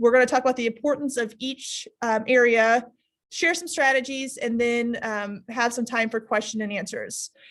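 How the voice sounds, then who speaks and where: In a very clean recording with a silent background, a woman speaks at a moderate pace with high pitch and fairly even intonation. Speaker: teacher. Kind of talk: presentation to teachers.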